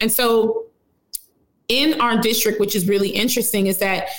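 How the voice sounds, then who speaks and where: Fairly high in pitch, a woman speaks in an unremarkable speaking voice with an American accent. Her pace is fairly quick and her intonation fairly even. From Chicago West Side (Austin). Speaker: congressional candidate, community organizer. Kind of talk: interview. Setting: remote virtual call.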